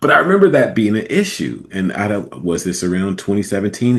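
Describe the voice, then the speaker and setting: Speaking at a fairly quick pace, a man has a very deep, low pitch. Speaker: radio host. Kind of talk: casual commentary. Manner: casual, hesitant.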